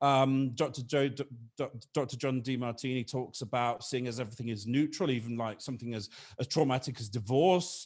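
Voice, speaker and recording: A man with a British accent at medium pitch, fairly quick, on a very clean recording with a silent background. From Britain. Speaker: business consultant. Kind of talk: podcast interview. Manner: halting, repeats words.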